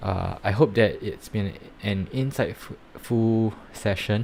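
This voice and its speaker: A man speaks with a Singaporean accent. His pitch is fairly low. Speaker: NFT project reviewer and startup founder. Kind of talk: live stream commentary. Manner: hesitant, many fillers.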